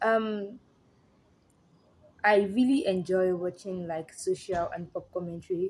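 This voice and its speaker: A woman's medium-pitched voice in a Nigerian accent, at a fairly slow pace with ordinary pitch variation and long, frequent pauses. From Nigeria (Yoruba). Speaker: social commentary YouTuber. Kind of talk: casual commentary monologue.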